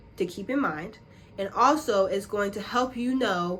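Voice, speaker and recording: A woman speaks in a normal speaking voice at a moderate pace, her medium pitch showing ordinary variation. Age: 20s. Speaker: YouTuber. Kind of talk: tutorial. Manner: casual.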